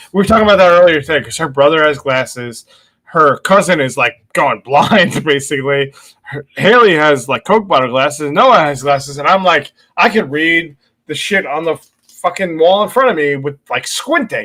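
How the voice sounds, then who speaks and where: Loud and bright with a sharp tone, a man speaks at a fairly high pitch with lively intonation. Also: moderate pace. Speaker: podcast co-host. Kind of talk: casual chat.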